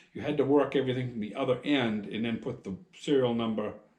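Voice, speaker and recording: A man's voice is heard with audible room echo. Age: 60s. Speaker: farmer and machinist vlogger. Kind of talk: casual storytelling. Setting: outdoors at farm shed. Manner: rambling conversational.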